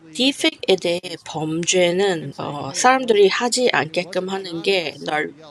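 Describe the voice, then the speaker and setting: Over noticeable background noise, a woman with a fairly low pitch speaks at a very slow pace with lively intonation. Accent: non-native. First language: not Korean (speaking Korean). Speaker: YouTuber commenting on Korea news. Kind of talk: video commentary. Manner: halting, with fillers.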